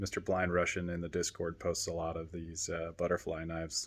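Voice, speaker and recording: A man's very deep, low voice at a fairly quick pace, on a very clean recording with a silent background. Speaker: RC hobby YouTuber. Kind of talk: casual unboxing vlog. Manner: monotone.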